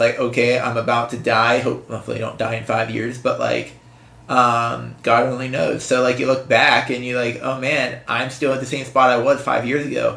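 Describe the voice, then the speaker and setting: A man talks in a medium pitch with a bright, sharp tone. Audible room echo is heard around him. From western Pennsylvania. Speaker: podcast co-host being interviewed. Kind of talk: casual interview. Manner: halting, many fillers and restarts.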